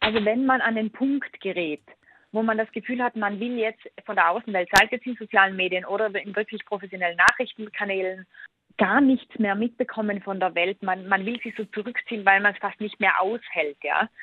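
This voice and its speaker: A woman speaks at a fairly quick pace in a plain, everyday voice. Her pitch is medium and her intonation fairly even. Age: 30s. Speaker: author and digital detox expert. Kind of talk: interview.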